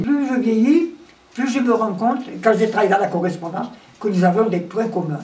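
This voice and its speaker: There is noticeable background noise behind a woman at a medium pitch. She talks at a fairly quick pace with ordinary pitch variation. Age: 80s+. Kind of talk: interview answer. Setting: indoors at home. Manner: energetic.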